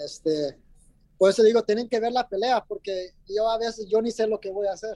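A man with a high voice and a dark, mellow tone speaks with ordinary pitch variation, the sound dry and close with no echo. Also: moderate pace. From New Jersey, US. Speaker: mixed martial arts fighter. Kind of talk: interview. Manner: hesitant, many fillers.

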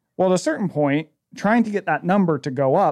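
A man's lively intonation in a dry, close recording with no echo and a quiet background. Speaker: author. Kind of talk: interview conversation.

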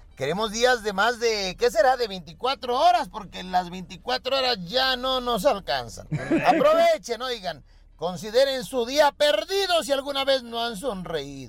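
The speaker goes at a fairly slow pace with very wide pitch swings. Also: man. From Mexico, Acapulco, Guerrero. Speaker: comedian. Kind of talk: stand-up.

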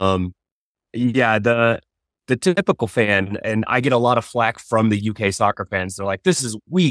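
On a very clean recording with a silent background and a dry, close sound with no echo, a man talks at a moderate pace and medium pitch with ordinary pitch variation. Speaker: TikTok creator who heckles at baseball games. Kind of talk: casual chat.

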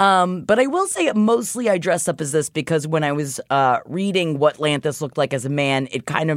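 Speaking with an American accent, a woman uses a very deep, low pitch and lively intonation at a fairly quick pace with hardly any pauses. Her tone is animated, and the recording is very clean with a silent background. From Florida, US. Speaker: podcast co-host, voice specialist. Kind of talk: casual chat. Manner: animated, jokey.

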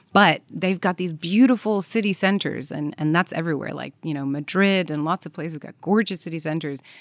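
A normal speaking voice in an American accent moves at a fairly quick pace with hardly any pauses and big swings in loudness. The recording is very clean, the background silent. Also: woman, fairly low pitch for a woman, ordinary pitch variation. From Belgium. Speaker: travel expert. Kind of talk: casual chat.

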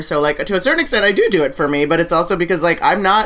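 Speaking very fast with lively intonation, a woman uses a fairly low-pitched voice.

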